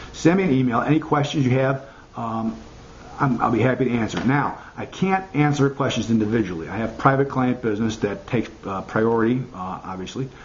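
Ordinary pitch variation in an American accent, with light background noise. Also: man, medium pitch for a man, fairly quick pace. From US Midwest, Chicago. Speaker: marketing consultant. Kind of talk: tutorial. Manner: halting, many fillers. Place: home room. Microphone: webcam.

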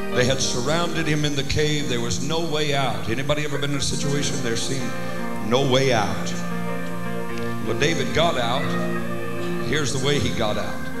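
Loud music plays in the background as the speaker goes at a moderate pace with ordinary pitch variation and long, frequent pauses. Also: man. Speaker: preacher. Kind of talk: sermon. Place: church. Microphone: handheld.

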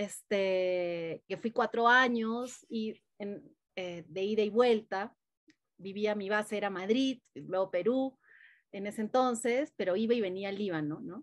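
A woman talks very slowly over a quiet background, with ordinary pitch variation. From Peru. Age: 40s. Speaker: mindfulness teacher; interview guest, mindfulness teacher. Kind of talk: casual interview; guided meditation. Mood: warm, smiling, animated. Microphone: video call.

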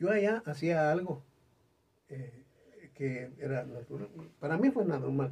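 This man's fairly high, somewhat breathy voice moves at a fairly slow pace with lively intonation and long, frequent pauses. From Guatemala. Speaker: singer; interview guest. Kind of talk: interview chat. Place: studio.

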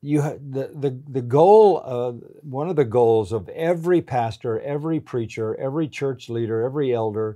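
A man talks in a dark, mellow tone with ordinary pitch variation. The background is quiet. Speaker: pastor being interviewed. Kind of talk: interview answer. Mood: earnest, calm conviction. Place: home room. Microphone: lapel.

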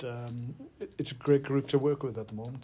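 A man at a moderate pace, somewhat breathy, with monotone, flat intonation. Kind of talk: interview answer. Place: hall. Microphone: handheld.

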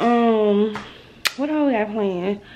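A woman's fairly slow speech with ordinary pitch variation over light background noise. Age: 20s. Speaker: vlogger. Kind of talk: casual vlog talk to camera. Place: kitchen. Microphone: phone near.

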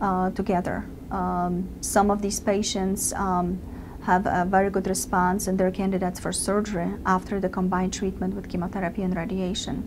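Flat, monotone speech with vocal fry comes at a fairly quick pace against noticeable background noise. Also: woman. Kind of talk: interview answer. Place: office.

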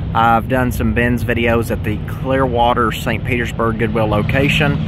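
Noticeable background noise sits behind a man speaking at a moderate pace with ordinary pitch variation, the sound dry with no echo. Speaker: thrift reseller vlogger. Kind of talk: casual vlog chat. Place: street. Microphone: phone near.

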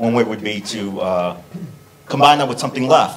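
A man speaks at a moderate pace while light background noise is heard. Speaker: audience member. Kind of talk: audience question. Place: classroom.

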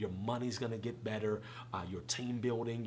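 Over light background noise, a man at a medium pitch talks at a fairly quick pace with a somewhat breathy voice. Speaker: preacher and conference founder. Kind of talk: casual interview. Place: home room.

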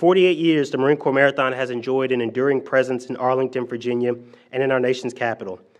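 A man talks fairly quickly, his pitch varying in an ordinary way, with little sound behind him. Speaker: presenter. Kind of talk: formal prepared remarks at a press conference. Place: hall. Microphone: podium.

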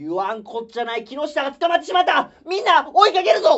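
A man's put-on character voice, extremely high in pitch, at a fairly quick pace. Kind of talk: comedy sketch performance. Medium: stage. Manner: loud, exasperated.

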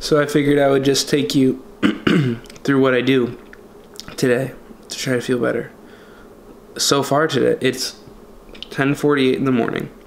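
A man in a tired tone, monotone and flat, with long, frequent pauses over light background noise. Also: moderate pace. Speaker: vlogger. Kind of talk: casual vlog chat. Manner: weak, congested, sickly tired voice. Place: kitchen. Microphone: phone near.

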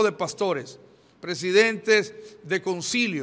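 High pitch from a male speaker, with ordinary variation in pitch. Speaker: pastor giving press statement. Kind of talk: press statement. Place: hall.

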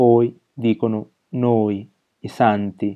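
This voice belongs to a man. His delivery stays monotone and flat. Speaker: poet reading his own poem. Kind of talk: poetry reading. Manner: measured, rhythmic, deliberate; contemplative, with pauses between images.

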